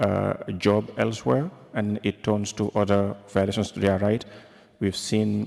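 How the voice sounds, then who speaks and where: Delivered in a normal speaking voice, the speech moves at a fairly slow pace with fairly even intonation. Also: man, fairly low pitch for a man. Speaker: journalist. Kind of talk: press conference question.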